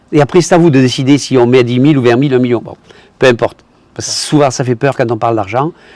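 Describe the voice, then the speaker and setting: The man's speech rushes at a very fast pace. Its pitch rises and falls in an ordinary way. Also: medium pitch for a man. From southern France. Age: 70s. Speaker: retired tradesman and investment promoter. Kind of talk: testimony. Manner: halting, with repetitions.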